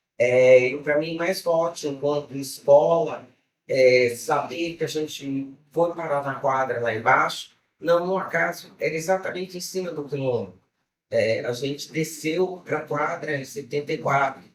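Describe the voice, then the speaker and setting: An ordinary speaking voice from a man, fairly high-pitched, with ordinary pitch variation and a fairly slow pace. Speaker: samba school old guard member. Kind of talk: testimony.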